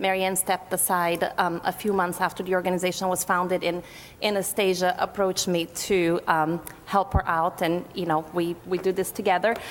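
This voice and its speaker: A woman with a Portuguese accent and a medium pitch speaks at a fairly quick pace. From Brazil. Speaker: activist group co-chair. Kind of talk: panel talk.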